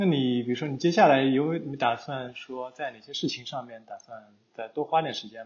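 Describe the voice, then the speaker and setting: In an ordinary speaking voice, a man at a medium pitch talks at a fairly quick pace with hardly any pauses, ordinary pitch variation and big swings in loudness. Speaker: podcast host. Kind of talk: casual interview chat.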